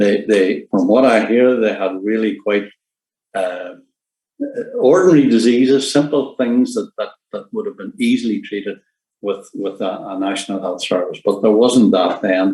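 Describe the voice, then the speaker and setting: The man's voice has a dark, mellow tone and a medium pitch with ordinary pitch variation. He talks in a Northern Irish accent. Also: moderate pace. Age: 70s. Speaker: retired nurse. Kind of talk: presentation. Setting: online seminar. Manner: halting, many fillers.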